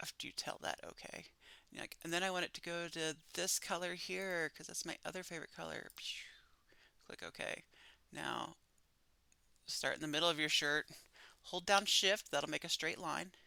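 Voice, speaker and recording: A whispered voice at a moderate pace, with long, frequent pauses and a very clean recording over a silent background. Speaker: online class instructor. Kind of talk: tutorial. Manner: animated.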